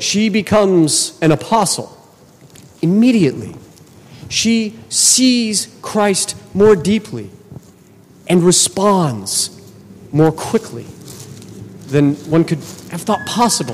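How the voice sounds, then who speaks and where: A high-pitched man speaks very slowly, with lively intonation. Long, frequent pauses break up his speech against noticeable background noise. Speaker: Orthodox priest. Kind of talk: sermon. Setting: church. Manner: casual, conversational.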